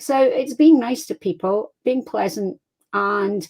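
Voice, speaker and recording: A woman speaks with a Scottish accent and lively intonation. The sound is dry and close, with no echo. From Scotland. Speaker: crime fiction author. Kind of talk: interview. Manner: animated.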